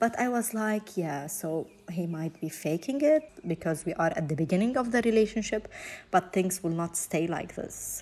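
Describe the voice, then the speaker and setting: The intonation is lively. The speaker has a non-native accent. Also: woman, medium pitch for a woman, moderate pace. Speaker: domestic violence survivor. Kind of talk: personal testimony interview answer.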